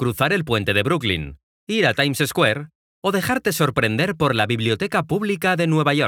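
A fairly high-pitched man's bright, sharp voice with vocal fry and very wide pitch swings, at a moderate pace, on a very clean recording with a silent background. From Mexico, Guadalajara. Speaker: travel storyteller. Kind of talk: scripted narration.

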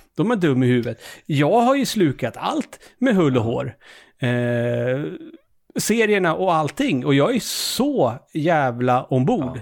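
This man's voice sits fairly high, with very wide pitch swings. He talks at a fairly slow pace. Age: 40s. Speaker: video game podcast host. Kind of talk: casual chat.

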